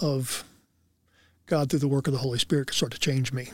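The recording is very clean with a silent background. A man speaks at a fairly high pitch in a somewhat breathy voice. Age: 60s. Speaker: former football player. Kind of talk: interview.

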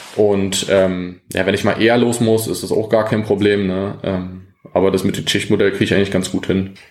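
A man's fairly low voice stays monotone and flat at a moderate pace, with audible room echo around it. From Brandenburg, eastern Germany. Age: 20s. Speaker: amateur footballer and police officer. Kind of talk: casual interview. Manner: hesitant, many fillers; calm, relaxed.

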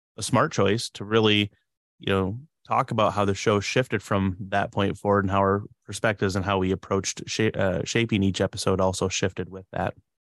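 A man speaks in an ordinary speaking voice, fairly low in pitch, at a fairly quick pace with fairly even intonation. The sound is dry and close with no echo, over a quiet background. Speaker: podcast co-host. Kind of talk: casual chat. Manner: frequent filler words.

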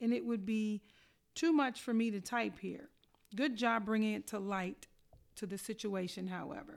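A normal speaking voice at a moderate pace with ordinary pitch variation comes through on a very clean recording with a silent background. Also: woman. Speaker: school equity team member presenting staff announcement. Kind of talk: scripted announcement reading staff responses aloud.

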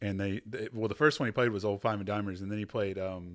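A man's fairly low voice with a Texan accent at a very fast pace, in a very clean recording with a silent background. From Texas. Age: 30s. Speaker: podcast host. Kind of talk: casual chat. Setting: studio.

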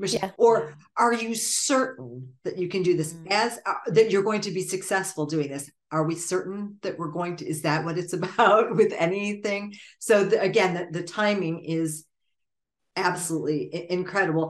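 Using a plain, everyday voice, a woman with an American accent speaks at a moderate pace with ordinary pitch variation. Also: medium pitch for a woman. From United States. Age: 50s. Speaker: music industry professional, former singer. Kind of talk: interview conversation.

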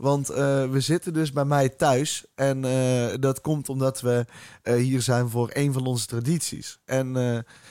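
Very slow, monotone and flat in intonation, the voice holds very even loudness throughout. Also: man, medium pitch for a man. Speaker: podcast host. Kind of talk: casual chat.

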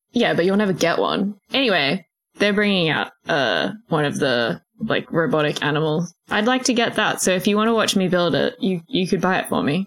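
A woman with an Australian accent, medium pitch, vocal fry and lively intonation, at very even loudness with hardly any pauses. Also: moderate pace. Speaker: podcast co-host. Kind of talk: casual chat.

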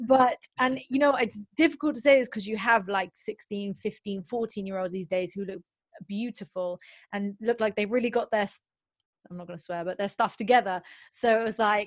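Fairly high pitch from a woman in a normal speaking voice, ordinary pitch variation, moderate pace. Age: 20s. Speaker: singer-songwriter. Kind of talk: casual interview chat.

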